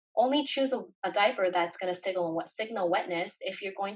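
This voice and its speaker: Using an ordinary speaking voice, a woman talks at a fairly quick pace with lively intonation and medium pitch. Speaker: small business owner and parenting educator. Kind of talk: webinar presentation. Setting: online webinar.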